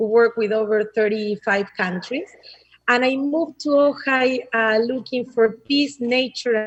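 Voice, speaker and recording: A woman with an Argentine accent talks at a fairly slow pace. Her pitch sits fairly high and varies in an ordinary way. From Argentina. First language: Spanish. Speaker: nonprofit founder and presenter. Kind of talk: public meeting presentation.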